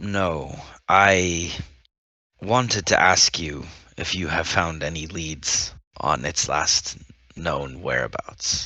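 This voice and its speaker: A man's put-on character voice, raspy and very deep in pitch, at a very slow pace with long, frequent pauses and ordinary pitch variation. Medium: actual play. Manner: stiff, formal.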